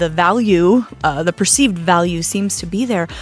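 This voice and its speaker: A woman talks with ordinary pitch variation at a medium pitch. Music can be heard behind her. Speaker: shop founder. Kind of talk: interview. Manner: loud.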